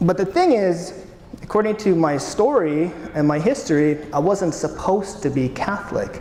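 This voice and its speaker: A man's high-pitched voice with a Canadian accent, lively intonation, moderate pace and very even loudness, with audible room echo and noticeable background noise. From Canada. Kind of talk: conference talk. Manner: casual, hesitant.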